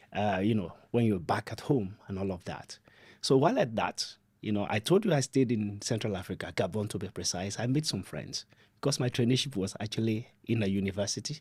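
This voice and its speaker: A man with a Nigerian accent talks at a fairly quick pace in a fairly low, somewhat breathy voice, in a very clean recording with a silent background. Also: ordinary pitch variation. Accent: Nigerian (Yoruba) English. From southwest Nigeria (Ibadan, Oyo State). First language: Yoruba. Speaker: development adviser, podcast guest. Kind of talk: podcast interview.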